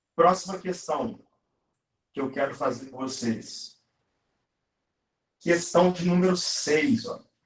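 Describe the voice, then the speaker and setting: A man talks at a very slow pace with a high pitch and lively intonation. He leaves long, frequent pauses. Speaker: math teacher. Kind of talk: live online lesson.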